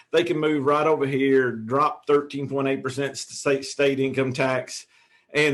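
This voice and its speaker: With a Tennessee accent, a man talks at a moderate pace in a medium pitch. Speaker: realtor. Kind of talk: interview. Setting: video call. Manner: halting.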